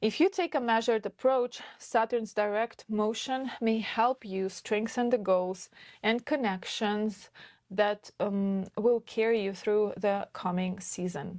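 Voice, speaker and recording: Recorded very cleanly with a silent background and a dry, close sound with no echo, a woman speaks at a very slow pace with a fairly high pitch and ordinary pitch variation. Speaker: astrologer. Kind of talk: astrology forecast talk. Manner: halting.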